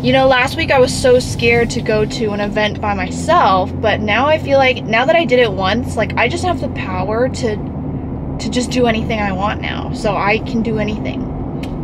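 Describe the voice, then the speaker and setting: A woman speaks at a moderate pace. Loud background noise fills the recording. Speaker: vlogger. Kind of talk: casual vlog chat. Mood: excited, upbeat. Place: car. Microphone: phone near.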